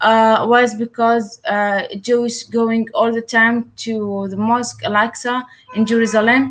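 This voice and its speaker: With an Arabic accent, a woman speaks at a fairly slow pace in a fairly high pitch with fairly even intonation. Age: 20s. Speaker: writer and activist. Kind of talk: interview. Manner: halting, many hesitations.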